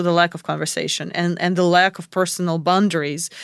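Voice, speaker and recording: Fairly low in pitch, a woman with an unremarkable speaking voice talks at a fairly quick pace. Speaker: podcast co-host. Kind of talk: casual chat.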